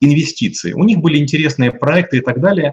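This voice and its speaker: This man's voice is fairly high and somewhat breathy. His pitch variation is ordinary. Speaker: business consultant. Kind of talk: interview.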